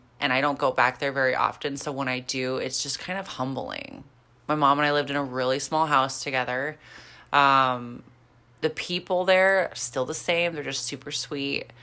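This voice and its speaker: A woman with a slight Midwestern accent speaks at a moderate pace with a very deep, low pitch and a bright, sharp tone. Her intonation is fairly even, in a very clean recording with a silent background. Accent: slight Midwestern twang. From rural Kansas. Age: 20s. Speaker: fitness podcast co-host, figure competitor. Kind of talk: casual chat.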